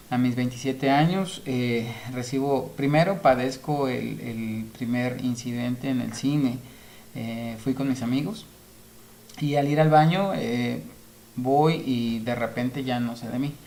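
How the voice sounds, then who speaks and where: Speech at a very slow pace with audible room echo. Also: man, medium pitch for a man, ordinary pitch variation. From Mexico, Nayarit. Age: 30s. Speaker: interview guest sharing health experience. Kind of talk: interview testimony. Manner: halting, many filler sounds.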